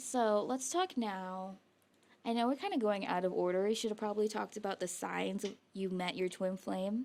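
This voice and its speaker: A woman at medium pitch and moderate pace, with ordinary pitch variation. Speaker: podcast co-host. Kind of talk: casual chat. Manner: animated.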